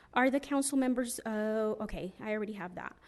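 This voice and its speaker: A woman speaks in a plain, everyday voice, fairly high-pitched, with ordinary pitch variation. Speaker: public commenter, property owner. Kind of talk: public comment at council meeting.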